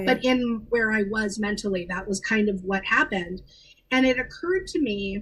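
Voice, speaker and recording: A woman with a normal speaking voice and a General American accent talks at a moderate pace, her fairly high pitch showing ordinary variation. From Los Angeles. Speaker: actress. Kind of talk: interview answer.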